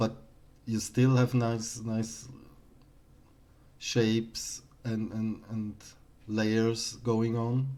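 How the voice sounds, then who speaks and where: A man with a non-native accent speaks at a very slow pace, leaving long, frequent pauses. His medium-pitched voice has a dark, mellow tone and monotone, flat intonation. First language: not English. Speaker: artist streamer reviewing artworks. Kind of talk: live stream art critique. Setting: live stream. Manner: halting, many repetitions.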